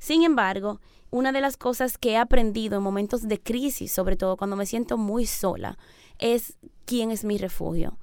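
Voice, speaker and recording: A normal speaking voice from a woman, fairly high in pitch with ordinary variation, at a moderate pace, on a very clean recording with a silent background. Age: 30s. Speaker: missionary. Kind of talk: radio interview. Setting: radio studio.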